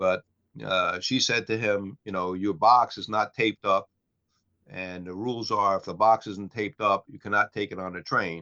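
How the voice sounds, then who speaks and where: This man has an ordinary speaking voice, fairly low in pitch, at a moderate pace with fairly even intonation. His loudness swings widely. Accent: American. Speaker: podcast co-host. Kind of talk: casual banter, livestream chat. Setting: live stream, online. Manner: joking, easygoing.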